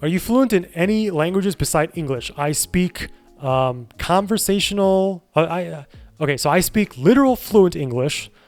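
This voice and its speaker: Over music in the background, a man with a Midwestern US accent speaks at a moderate pace in a high voice with lively intonation. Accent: General American, Midwest. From Chicago suburbs, US Midwest. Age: 30s. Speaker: streamer. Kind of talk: casual chat. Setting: live stream.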